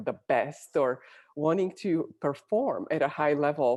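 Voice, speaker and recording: A woman with a Bulgarian accent speaks in a very deep, low pitch and a dark, mellow tone, with ordinary pitch variation. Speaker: Olympic athlete and executive coach. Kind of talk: interview.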